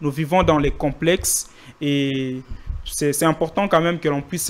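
A man talks with a fairly high pitch and ordinary pitch variation. His pace is fairly slow.

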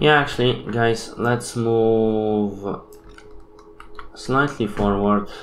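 A man's fairly low voice at a very slow pace, with audible room echo. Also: ordinary pitch variation.

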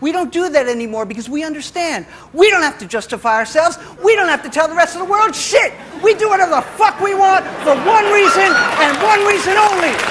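Crowd noise fills the background as a man with an American accent speaks at a fairly quick pace. His pitch is extremely high and swings very widely. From New York City. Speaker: spoken word poet. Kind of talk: live spoken word poetry performance. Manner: brash, aggressive satirical rant. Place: stage.

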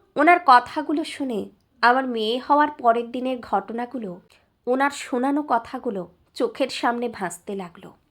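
On a very clean recording with a silent background, a woman speaks at a high pitch with ordinary pitch variation and big swings in loudness. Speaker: story narrator. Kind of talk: emotional audio story reading, first-person.

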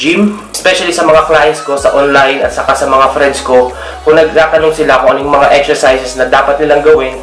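Over clear background music and audible room echo, a man talks at a fairly quick pace with fairly even intonation. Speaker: fitness coach. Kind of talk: tutorial. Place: home room. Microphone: phone near.

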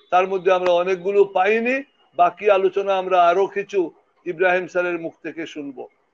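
Fairly even intonation from a man speaking high in pitch. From Bangladesh. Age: 60s. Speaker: retired army officer; guest. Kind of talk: panel discussion. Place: home room. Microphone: video call.

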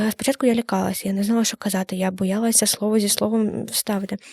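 In a dry, close sound with no echo, a woman speaks fairly quickly at a medium pitch, somewhat breathy, with fairly even intonation. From Ukraine, Kamianske. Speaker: student journalist. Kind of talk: casual interview. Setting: studio.

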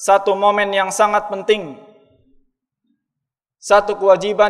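Over a quiet background, a man with a high-pitched voice speaks at a fairly slow pace. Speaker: preacher. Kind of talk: sermon. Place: church. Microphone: podium.

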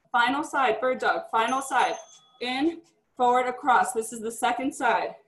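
A woman's high-pitched, upbeat voice with audible room echo and music in the background. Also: ordinary pitch variation, moderate pace. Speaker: fitness instructor. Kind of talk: live group fitness class, cueing exercises. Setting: live class, video stream, gym. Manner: upbeat, encouraging. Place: home room. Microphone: webcam.

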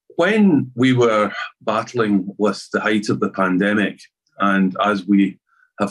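This man has a Scottish accent and a fairly low pitch. His intonation is fairly even, with a quiet background. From Scotland. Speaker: arts festival chair. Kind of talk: conference talk. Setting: video call. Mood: serious, measured. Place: home room. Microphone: webcam.

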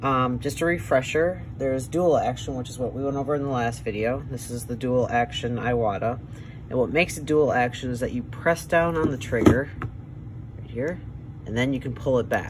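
Over loud background noise, a man talks with an American accent. His pace is fairly quick, with ordinary pitch variation. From Wisconsin, USA. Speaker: airbrush artist. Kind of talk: tutorial demonstration. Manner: casual, hesitant. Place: workshop.

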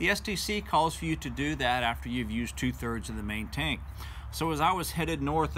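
A man talks at a moderate speed while light background noise hums along. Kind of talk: casual vlog storytelling. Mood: calm, engaging recounting. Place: home room. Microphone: phone near.

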